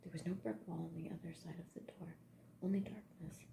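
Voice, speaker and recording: Whispering at a moderate pace, a woman sounds soft-spoken. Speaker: ASMR artist. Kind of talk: whispered audiobook-style reading for sleep. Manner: soft-spoken, whispering, with occasional stutters and pauses.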